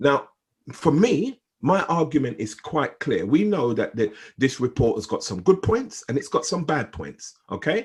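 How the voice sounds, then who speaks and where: Pitch swings very widely at a fairly slow pace, with vocal fry throughout. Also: man, fairly high pitch for a man. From Jamaica. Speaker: gang intervention consultant. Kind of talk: group discussion statement. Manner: repetitive stammering; emphatic.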